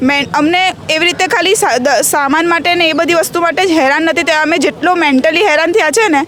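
A woman's extremely high, animated voice against noticeable background noise. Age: young. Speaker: demolition victim. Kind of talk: interview testimony.

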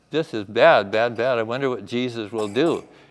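Natural reading voice, nothing more.

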